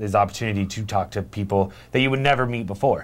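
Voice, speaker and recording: An animated man with an American accent, very fast pace and lively intonation, on a very clean recording with a silent background. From Arizona, Lake Havasu City. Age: 30s. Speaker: radio host. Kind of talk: casual chat. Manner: halting.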